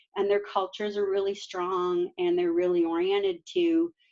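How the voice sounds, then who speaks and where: A woman with a normal speaking voice, moderate pace and ordinary pitch variation. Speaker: meetup presenter on remote work. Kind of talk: presentation.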